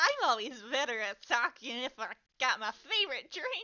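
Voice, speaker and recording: At a moderate pace, the speaker uses a whiny put-on character voice. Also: woman, high pitch for a woman. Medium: read story. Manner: slurred, swings between cheer, whining and rage.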